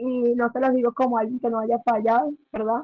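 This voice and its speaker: A woman's high-pitched voice with a flat, monotone delivery. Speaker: Bible teacher. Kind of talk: Bible study class. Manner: fast.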